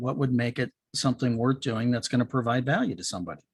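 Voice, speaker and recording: A somewhat breathy voice moves at a fairly quick pace in a very clean recording with a silent background. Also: man. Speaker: podcast/show host, speaker. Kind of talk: interview host. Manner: warm, friendly.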